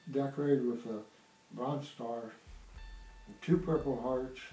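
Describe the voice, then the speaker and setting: A man with an American accent at a fairly slow pace, fairly even intonation, long and frequent pauses, audible room echo and music in the background. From Iowa, US Midwest. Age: 70s. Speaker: war veteran. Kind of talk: personal testimony interview. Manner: halting, with fillers.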